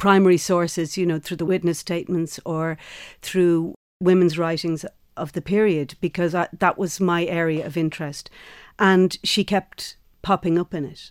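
A woman with an Irish accent, fairly low-pitched and monotone, at a moderate pace, on a very clean recording with a silent background. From Ireland. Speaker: actor and theatre maker. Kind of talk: interview.

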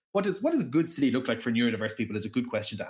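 This man talks with an Irish accent. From Ireland. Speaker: professor. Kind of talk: casual interview chat. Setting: remote call. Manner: halting, many repetitions and fillers.

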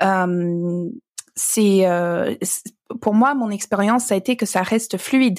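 Her pace is very slow. This woman keeps a fairly even intonation. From Alberta, Canada. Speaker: author. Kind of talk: casual interview. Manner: halting.

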